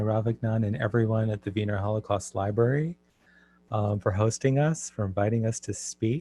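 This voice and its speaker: Against a quiet background, with a dry, close sound and no echo, a man speaks at a moderate pace. His tone is dark and mellow, and somewhat breathy. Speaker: translator. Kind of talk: online talk.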